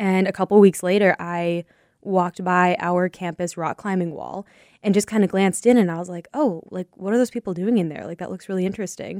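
A woman's normal speaking voice with an American accent, medium in pitch and fairly quick, with big swings in loudness, in a dry, close, very clean recording with no echo and a silent background. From Minnesota. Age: 20s. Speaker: professional rock climber and route setter. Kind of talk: interview. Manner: casual, many fillers.

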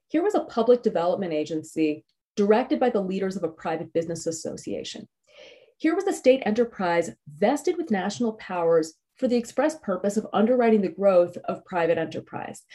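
A woman's dark, mellow voice swings very widely in pitch. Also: medium pitch for a woman, fairly quick pace. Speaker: history professor. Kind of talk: lecture. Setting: video call.

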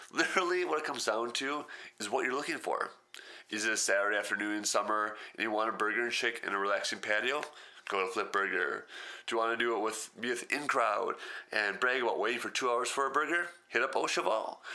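Bright and sharp in tone, a man with an American accent speaks at a medium pitch. His pace is very fast. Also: ordinary pitch variation. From Wisconsin. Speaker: podcast host. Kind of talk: casual solo podcast monologue.

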